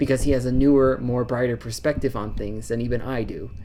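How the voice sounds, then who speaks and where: The speech moves at a fairly quick pace. Noticeable noise sits in the background. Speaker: vlogger and university music student. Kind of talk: casual vlog monologue. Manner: stuttering; rambling, stumbling.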